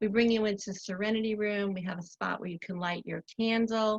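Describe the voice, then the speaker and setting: A woman with an American accent, medium-pitched and somewhat breathy, at a moderate pace with fairly even intonation, in a dry, close sound with no echo. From Long Island, New York. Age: 60s. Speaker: spa owner. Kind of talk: interview.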